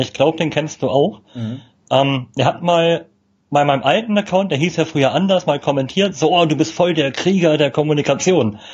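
A somewhat breathy, fairly high male voice at a moderate pace, with ordinary pitch variation. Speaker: communication trainer. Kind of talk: casual interview. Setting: live video stream.

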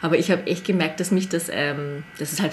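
A woman speaks at a fairly quick pace with fairly even intonation. Her pitch is fairly low, and noticeable background noise is present. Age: 30s. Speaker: Korean language teacher. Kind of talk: casual chat.

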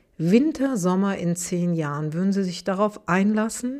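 A woman with an Aachen accent speaks fairly slowly at a medium pitch in a dark, mellow tone, on a very clean recording with a silent background. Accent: Aachen regional colouring. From Aachen, Germany. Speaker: business journalist and podcast host. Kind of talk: interview conversation. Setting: studio.

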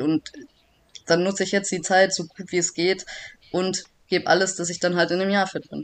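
A woman speaks at a fairly quick pace in a medium pitch with fairly even intonation, an unremarkable speaking voice. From Swabia, Germany (Backnang). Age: 30s. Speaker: judoka, Olympic athlete. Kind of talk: casual interview.

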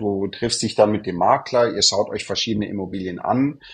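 Fairly low-pitched man with an unremarkable speaking voice and fairly even intonation. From southern Germany, Munich. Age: 30s. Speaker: real estate consultant. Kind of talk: podcast interview.

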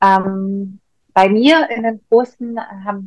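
The sound is dry and close with no echo, carrying a Russian accent. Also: woman. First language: Russian (speaking German). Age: 40s. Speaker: face yoga trainer. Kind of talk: casual interview.

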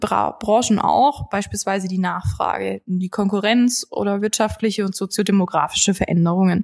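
A woman speaks in a somewhat breathy voice at medium pitch. Her pace is moderate. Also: hardly any pauses. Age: 20s. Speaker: financial sales manager. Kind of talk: podcast interview explaining finance topics.

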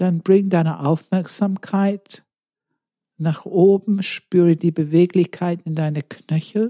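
Speaking at a very slow pace, a woman has a fairly low pitch, a dark, mellow tone, a calm, soothing quality and fairly even intonation, with a dry, close sound and no echo. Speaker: meditation guide. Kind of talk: guided meditation. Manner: slow, calm, soothing, with long pauses; gentle instructive cues, second person.

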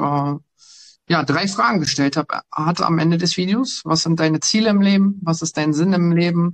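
Moderate pace and ordinary pitch variation from a man with a high voice. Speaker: police officer. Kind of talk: casual interview.

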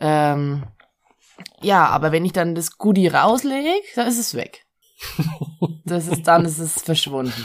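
Speaking very slowly with long, frequent pauses, a woman with a fairly low pitch uses lively intonation. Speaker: co-host's partner. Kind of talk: casual chat. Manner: laughs a lot.

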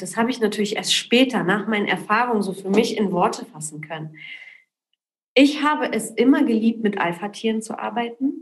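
Somewhat breathy and fairly high in pitch, a woman speaks at a moderate pace with lively intonation and big swings in loudness. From Poland, raised in Berlin and Cologne from age ten. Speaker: entrepreneur. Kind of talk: interview.

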